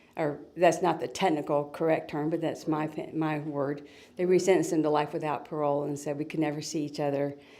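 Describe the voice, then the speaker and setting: With audible room echo, a woman talks at a fairly quick pace in a very deep, low voice, dark and mellow in tone, her intonation flat and monotone. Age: 60s. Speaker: author and retired school teacher. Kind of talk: interview.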